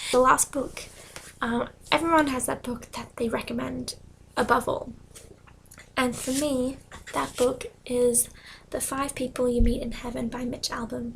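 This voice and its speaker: Soft-spoken and monotone, a woman with a high pitch and flat intonation speaks at a fairly slow pace with long, frequent pauses. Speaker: book vlogger. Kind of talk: casual talk to camera.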